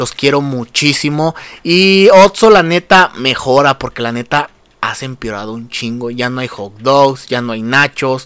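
A man speaks at a medium pitch with a Mexican accent and ordinary pitch variation. His tone is animated, bright and sharp. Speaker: podcast host. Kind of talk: comedic rant.

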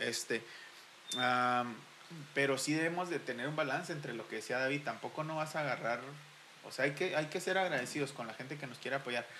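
A man's fairly high voice at a fairly quick pace, broken by long, frequent pauses, with noticeable background noise. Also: ordinary pitch variation. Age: 30s. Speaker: church musician. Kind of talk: casual chat.

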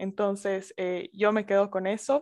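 Over a quiet background, a woman talks at a fairly slow pace in a medium pitch, her intonation monotone and flat, the sound dry and close with no echo. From Bolivia, Sucre. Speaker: podcast host. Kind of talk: interview. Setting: video call.

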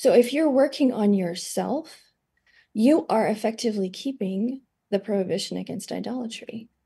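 A woman with an American accent speaks at a moderate pace in a fairly high, somewhat breathy voice with a dark, mellow tone and ordinary pitch variation. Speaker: energy healing therapist. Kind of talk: interview conversation.

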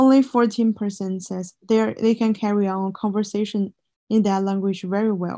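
A woman with a Chinese accent speaks in a fairly high, monotone voice with flat intonation. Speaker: student podcast co-host. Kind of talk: scripted student podcast presentation.

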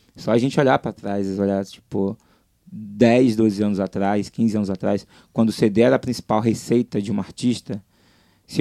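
In a very clean recording with a silent background and a dry, close sound with no echo, a man speaks at a moderate pace with a dark, mellow tone and medium pitch. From Brazil, Salvador (Bahia). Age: 20s. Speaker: pop music website founder. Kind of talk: casual interview.

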